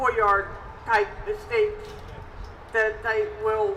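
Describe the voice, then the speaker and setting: Over noticeable background noise and audible room echo, a woman talks at a very slow pace. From New Jersey. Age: 60s. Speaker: retired tenant advocate. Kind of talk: personal testimony.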